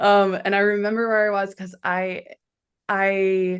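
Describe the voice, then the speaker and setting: The background is quiet while a woman talks. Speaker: podcast co-host. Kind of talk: casual chat. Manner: gets loud when passionate.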